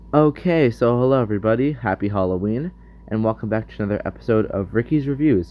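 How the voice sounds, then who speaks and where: At a very fast pace, a man speaks at a medium pitch with ordinary pitch variation. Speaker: film reviewer. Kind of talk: casual film review monologue.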